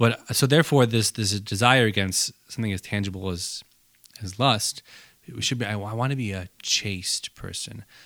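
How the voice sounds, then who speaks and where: At a moderate pace, a man speaks in a normal speaking voice with a fairly low pitch, ordinary pitch variation and big swings in loudness. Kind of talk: casual chat.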